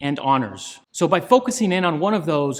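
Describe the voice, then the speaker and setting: This man has a fairly high voice and lively intonation. He speaks at a moderate pace in a very clean recording with a silent background. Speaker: marketing agency owner. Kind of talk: tutorial.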